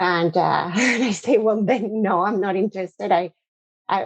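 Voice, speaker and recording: A woman with a Spanish accent and fairly even intonation, in a dry, close sound with no echo. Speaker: corporate lawyer, cybercrime specialist. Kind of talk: podcast interview.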